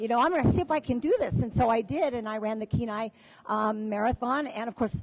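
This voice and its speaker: A woman with an American accent, fairly high in pitch, with lively intonation and noticeable background noise. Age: 60s. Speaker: dog musher and marathon runner. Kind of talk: panel discussion. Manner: halting, many fillers.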